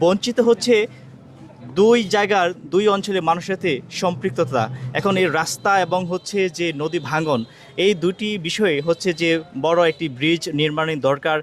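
A high-pitched male voice with ordinary pitch variation, music playing in the background. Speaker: local news reporter. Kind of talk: interview questions.

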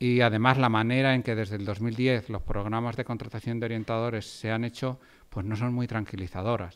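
This man talks at a fairly quick pace in a monotone, flat delivery. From Spain. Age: 40s. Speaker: economics professor. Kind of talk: lecture. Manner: halting, many fillers. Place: hall. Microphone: podium.

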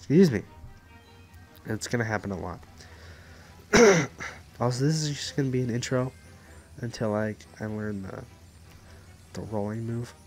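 With music in the background, a man speaks at a medium pitch and moderate pace, with ordinary pitch variation and long, frequent pauses. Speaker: gamer. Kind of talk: let's play commentary. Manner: casual.

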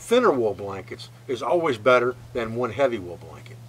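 A man is speaking. His pace is moderate. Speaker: bushcraft instructor. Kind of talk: tutorial. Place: tent.

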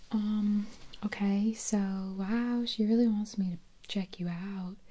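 Soft-spoken and monotone, the voice moves at a very slow pace with flat intonation. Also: woman. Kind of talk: soft-spoken role-play talk to the viewer. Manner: soft, close ASMR roleplay voice. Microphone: studio mic.

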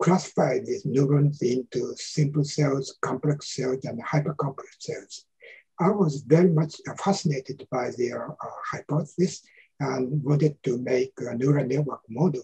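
Somewhat breathy, a man speaks in a dark, mellow tone with ordinary pitch variation. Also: moderate pace, quiet background. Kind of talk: interview answer. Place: home room. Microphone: video call.

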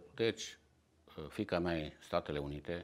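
Vocal fry in a man's very deep, low-pitched voice. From Transylvania, Cluj area. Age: 70s. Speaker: Armenian-descended community member. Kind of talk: interview testimony.

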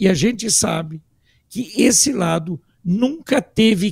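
Against a quiet background with a dry sound and no echo, a man talks very slowly with lively intonation. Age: 60s. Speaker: political commentator; political commentator panelist. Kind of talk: panel discussion. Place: home room. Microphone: studio mic.

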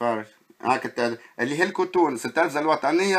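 At a moderate pace, a man speaks in an animated tone with ordinary pitch variation. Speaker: video blogger. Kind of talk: narrated walking video commentary. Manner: animated, exclamatory.

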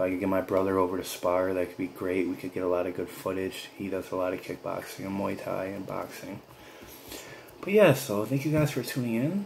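Speaking in an American accent, a man uses a very deep, low pitch with ordinary pitch variation and a relaxed tone. He talks at a fairly quick pace over light background noise. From upstate Western New York. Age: 30s. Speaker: gaming YouTuber. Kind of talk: casual vlog to viewers. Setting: at home, speaking softly with family asleep nearby. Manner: low-energy, relaxed; many filler words. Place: home room. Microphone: phone near.

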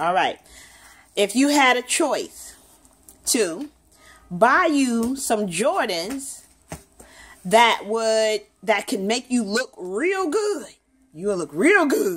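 A woman's high voice, very slow, with very wide pitch swings and long, frequent pauses. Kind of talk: casual questioning of a child. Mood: playful, encouraging. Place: home room.

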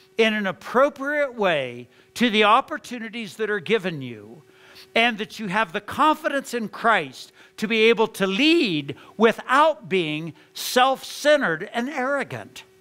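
A man with a raised, projected voice, high pitch and bright, sharp tone, very wide pitch swings and a very slow pace. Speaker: pastor. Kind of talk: sermon. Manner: earnest, exhortative, preaching with conviction; conversational, storytelling, with frequent restarts. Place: church.

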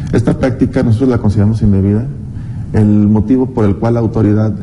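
A man talks with a fairly low pitch and fairly even intonation. Noticeable background noise is present. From Mexico. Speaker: taxpayer advocacy official. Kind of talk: TV interview. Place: studio. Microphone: lapel.

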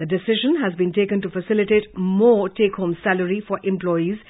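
In an Indian accent, a woman speaks at a medium pitch with fairly even intonation. The background is quiet. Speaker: news presenter. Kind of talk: news reading. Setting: studio. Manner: formal. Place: studio.

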